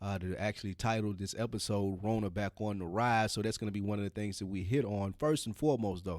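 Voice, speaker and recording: A man speaks with a Southern US accent at a fairly quick pace. His voice is fairly low. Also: very clean recording, silent background. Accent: Southern US (Georgia). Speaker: podcast co-host. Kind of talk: casual chat.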